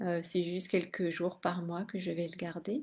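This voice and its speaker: Soft-spoken and somewhat breathy, a woman talks in a dark, mellow tone. The recording is very clean, with a silent background. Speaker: spiritual teacher and energy healer. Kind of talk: casual live video monologue. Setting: late-night live stream. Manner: hesitant, many fillers.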